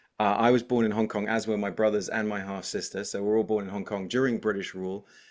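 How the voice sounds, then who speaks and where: A man with an American accent, fairly low-pitched and fairly quick, against a quiet background. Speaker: content creator and former TV presenter. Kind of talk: casual interview chat. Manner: animated.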